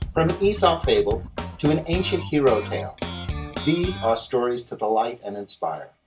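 Music plays behind a man as he speaks. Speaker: storyteller and face-painting artist. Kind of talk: movie trailer narration.

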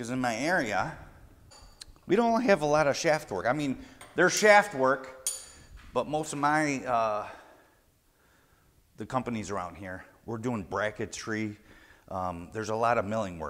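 Very wide pitch swings from a man talking at a moderate pace. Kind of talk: tutorial. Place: garage. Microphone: lapel.

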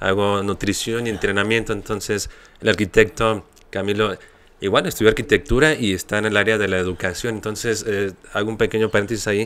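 A man with an unremarkable speaking voice, fairly low in pitch, at a fairly quick pace with fairly even intonation. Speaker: podcast host. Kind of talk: interview. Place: studio. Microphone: studio mic.

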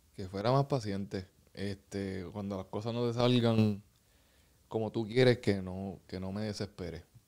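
A man has an ordinary speaking voice with a fairly low pitch. He speaks at a fairly slow pace, with big swings in loudness. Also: fairly even intonation, quiet background. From Puerto Rico. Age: 30s. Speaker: professional basketball player; guest. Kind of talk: casual interview. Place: studio. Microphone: studio mic.

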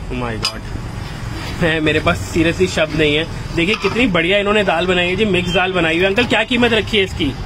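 There is noticeable background noise. A man speaks at a high pitch with ordinary pitch variation. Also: moderate pace. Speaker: food vlogger. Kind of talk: casual talk to camera. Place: street. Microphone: phone near.

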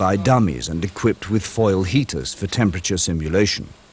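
A man at a fairly low pitch with vocal fry, lively intonation and a fairly quick pace. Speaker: documentary narrator. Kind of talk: vintage documentary narration, scripted technical voiceover. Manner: formal, even and measured; matter-of-fact, brisk and informative, like a corporate film.

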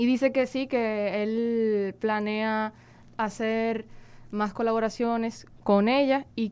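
A woman's voice, fairly high in pitch. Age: young. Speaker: interpreter. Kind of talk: live interpreting. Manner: halting. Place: studio. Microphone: studio mic.

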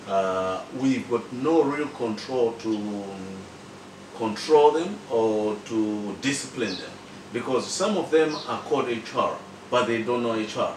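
Light background noise and audible room echo surround a man speaking at a fairly slow pace with lively intonation. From Malawi. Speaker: professional association president. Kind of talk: interview. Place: home room.

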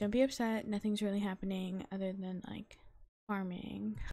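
A woman whispering at a moderate pace, somewhat breathy, on a very clean recording with a silent background. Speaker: gaming youtuber. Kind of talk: gameplay commentary.

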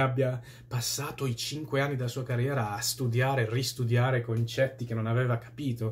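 A man speaks at a fairly quick pace in a somewhat breathy voice. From Italy. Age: 30s. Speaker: YouTuber answering viewer comments. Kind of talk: casual monologue. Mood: opinionated, at times scornful. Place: home room. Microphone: phone near.

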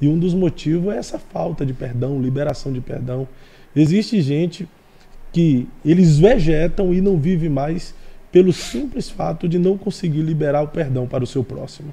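With a fairly high pitch, the man speaks in a dark, mellow tone. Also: ordinary pitch variation, moderate pace. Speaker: podcast host; pastor guest. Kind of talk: interview; interview answer. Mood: earnest, preaching tone. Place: studio. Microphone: studio mic.

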